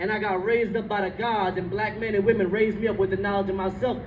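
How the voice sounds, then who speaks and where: A man talks very fast in an animated tone. Audible room echo is present. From Jersey City, New Jersey (Bengali immigrant family). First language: Bengali. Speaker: author and speaker. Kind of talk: public speech.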